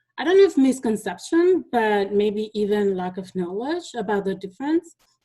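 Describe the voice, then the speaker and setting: A woman with a Spanish accent, dark and mellow in tone, at a moderate pace. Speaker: teacher. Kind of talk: conference presentation. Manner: halting, with many fillers.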